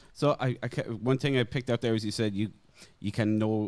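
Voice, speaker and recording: In an Irish accent, a man speaks at a moderate pace and medium pitch with ordinary pitch variation. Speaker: podcast host. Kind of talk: podcast interview.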